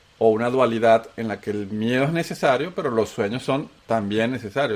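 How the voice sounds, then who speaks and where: A man with a Venezuelan accent and ordinary pitch variation. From Colombia (paisa), raised in Venezuela. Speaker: podcast co-host. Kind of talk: casual conversation.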